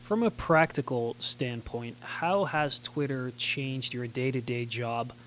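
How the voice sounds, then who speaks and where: A man with a plain, everyday voice, fairly slow in pace, with ordinary pitch variation and hardly any pauses. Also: medium pitch for a man. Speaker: podcast host. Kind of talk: interview.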